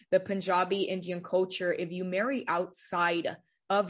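At a moderate pace, the speaker talks in an American accent. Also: woman, quiet background. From California, Central Valley. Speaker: youth ministry leader. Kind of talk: testimony.

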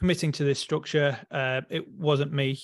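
Speaking with an English accent, a man keeps a fairly high pitch, fairly even intonation and a moderate pace against a quiet background. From rural England. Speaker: electrician and spiritual coach. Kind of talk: interview.

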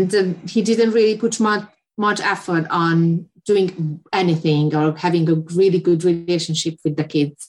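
A woman with a Hungarian accent talks at a fairly slow pace in a fairly low voice, her intonation fairly even and her loudness very even. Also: hardly any pauses. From Hungary. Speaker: photographer. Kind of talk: interview. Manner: halting.

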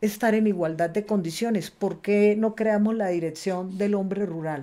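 This voice has a dark, mellow tone and ordinary pitch variation in a very clean recording with a silent background. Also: woman. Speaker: politician, congresswoman. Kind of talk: panel conversation.

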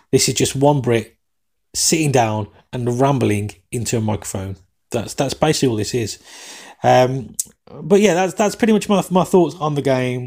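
With an English accent, a man at a medium pitch swings his pitch very widely and leaves long, frequent pauses. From England. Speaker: soccer podcast host. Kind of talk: solo podcast match commentary and chat. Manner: fast talker; casual, banter-heavy.

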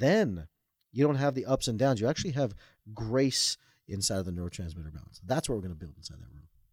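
A man with a fairly low, somewhat breathy voice talks at a very fast pace, with very wide pitch swings and big swings in loudness. The recording is very clean, with a silent background. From Toronto, Canada, Indian family. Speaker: author and mind-body coach. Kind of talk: interview.

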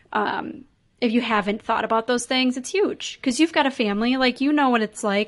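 A woman with an American accent, at a fairly quick pace, in an unremarkable speaking voice with ordinary pitch variation, over a quiet background. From US Midwest, Chicago. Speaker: business operations consultant. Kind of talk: interview conversation.

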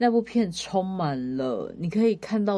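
Her dark, mellow tone rides very wide pitch swings as this woman speaks. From Taiwan, Kaohsiung. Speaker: podcast co-host, entertainment and arts industry worker. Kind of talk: casual chat.

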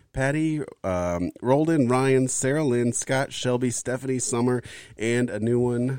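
A man with a normal speaking voice, medium pitch, ordinary pitch variation and a fairly slow pace, on a very clean recording with a silent background. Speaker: podcast co-host. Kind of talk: casual chat.

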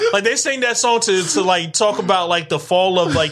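Over noticeable background noise, a man speaks at a high pitch. His pitch variation is ordinary. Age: 30s. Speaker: podcast co-host. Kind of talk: casual chat.

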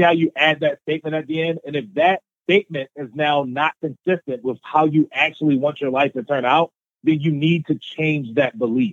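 A man with a plain, everyday voice, fairly high in pitch, at a fairly quick pace with ordinary pitch variation. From US, Baltimore, Maryland. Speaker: motivational speaker. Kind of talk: interview.

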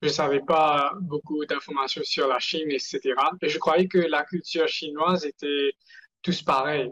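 The speaker goes at a fairly slow pace with fairly even intonation, captured in a dry, close sound with no echo. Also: man. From Mauritius. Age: 20s. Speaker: entrepreneur. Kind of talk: interview. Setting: video call. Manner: halting.

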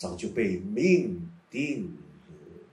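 A somewhat breathy man with a Taiwanese accent, in audible room echo. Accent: Taiwanese Mandarin. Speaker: meditation teacher. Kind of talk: guided meditation. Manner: slow.

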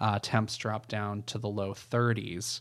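In a plain, everyday voice of medium pitch, a man speaks at a fairly slow pace with fairly even intonation on a very clean recording with a silent background. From New England, US. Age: 30s. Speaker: storyteller guest. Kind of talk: casual storytelling chat.

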